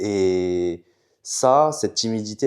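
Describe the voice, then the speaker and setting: The speaker talks at a very slow pace with a Chinese accent. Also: man. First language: Chinese (speaking French). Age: young. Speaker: student entrepreneur. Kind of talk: casual chat. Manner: hesitant.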